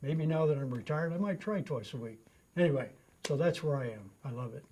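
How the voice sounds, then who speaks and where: Speaking at a very fast pace, a man delivers lively intonation in a fairly high pitch, his tone dark and mellow and somewhat breathy. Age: 70s. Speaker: customer testimonial, retired runner. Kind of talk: testimony. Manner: casual, with frequent fillers.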